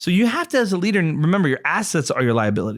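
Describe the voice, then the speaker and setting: Loud and energetic, a man talks at a very fast pace in a high pitch with very wide pitch swings, captured on a very clean recording with a silent background. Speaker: podcast co-host, marketer. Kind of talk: casual discussion. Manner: fast-talking; energetic, loud.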